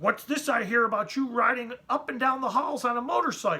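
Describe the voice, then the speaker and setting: A put-on character voice is raspy and fairly high in pitch. It moves at a fairly quick pace. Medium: read story. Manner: blunt.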